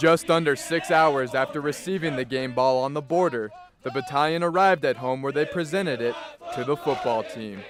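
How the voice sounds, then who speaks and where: Noticeable background noise sits behind a man speaking at a fairly quick pace. His voice is fairly high, with ordinary pitch variation. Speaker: college sports anchor and reporter. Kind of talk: sports feature voiceover with stand-up.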